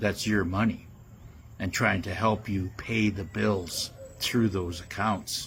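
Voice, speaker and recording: A man's somewhat breathy voice, very slow, with monotone, flat intonation. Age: 70s. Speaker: conspiracy commentator. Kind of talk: monologue. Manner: halting, many fillers.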